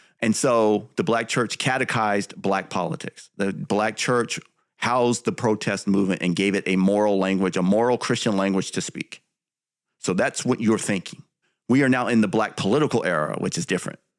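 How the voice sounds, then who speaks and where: A man with an American accent has an unremarkable speaking voice at a fairly low pitch, with ordinary pitch variation and a moderate pace. The recording is very clean, with a silent background. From US West Coast. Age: 50s. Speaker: writer and commentator. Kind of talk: interview.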